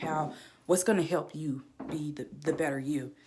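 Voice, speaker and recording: Music plays behind a woman with a very deep, low pitch. She speaks at a moderate pace with ordinary pitch variation. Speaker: student. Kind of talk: class presentation. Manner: stuttering; casual.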